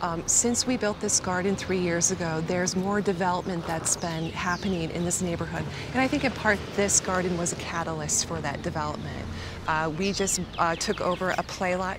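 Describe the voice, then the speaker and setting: Speaking with an American accent, a woman uses a fairly low pitch and fairly quick pace with fairly even intonation. The sound is dry with no echo, though noticeable background noise is present. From Detroit, Michigan. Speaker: resident and community gardener. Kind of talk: interview commentary; interview answer. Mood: calm, matter-of-fact. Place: garden.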